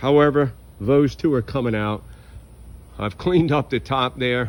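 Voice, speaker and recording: With a normal speaking voice, a man speaks at a moderate pace and medium pitch with lively intonation. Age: 60s. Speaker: home gardener. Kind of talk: casual vlog narration. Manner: casual, conversational.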